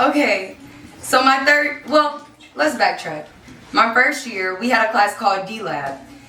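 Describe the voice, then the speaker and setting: Over noticeable background noise and audible room echo, a woman speaks at a moderate pace and a fairly high pitch. Her tone is animated and her intonation lively. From Missouri, Kansas City. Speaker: actress and storyteller. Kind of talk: one-woman show testimony. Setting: stage with audience.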